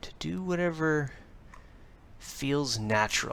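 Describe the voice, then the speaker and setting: This man speaks very slowly, with ordinary pitch variation. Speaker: tarot reader. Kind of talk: improvised tarot reading to camera. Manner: hesitant, halting, with many filler words.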